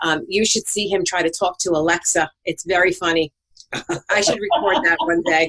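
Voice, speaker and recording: A woman speaks at a medium pitch with a New York accent. Her loudness stays very even, and the sound is dry and close with no echo. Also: ordinary pitch variation. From New York, Brooklyn. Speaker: co-host, spouse of host. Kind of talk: casual podcast conversation. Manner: fast.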